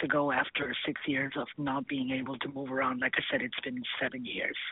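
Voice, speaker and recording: A woman speaks at a very deep, low pitch with fairly even intonation. Noticeable background noise is present. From South America. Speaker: caller. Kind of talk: phone call-in chat.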